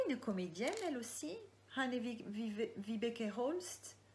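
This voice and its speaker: Fairly high female speech full of lively intonation, in a room with audible echo. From Marseille area, southern France. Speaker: crime novelist. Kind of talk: live Q&A. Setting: online live video. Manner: hesitant, many fillers.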